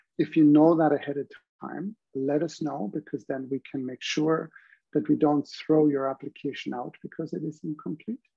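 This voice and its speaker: This man's voice sits fairly high in pitch with ordinary pitch variation. He talks at a moderate pace. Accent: German. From Germany. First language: German. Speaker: university professor. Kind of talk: online information session presentation.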